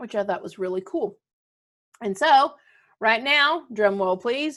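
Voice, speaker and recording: A woman talks in a warm, upbeat tone with very wide pitch swings. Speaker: schoolteacher making videos for students. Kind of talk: casual video address to students.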